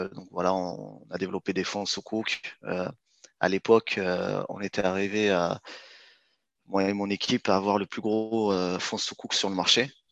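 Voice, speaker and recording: The voice has lively intonation, with a dry, close sound free of echo against a quiet background. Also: man. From France, Clermont-Ferrand (Auvergne), arrived from Morocco aged two. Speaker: startup founder in finance. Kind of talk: interview. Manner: halting, many hesitations and repetitions.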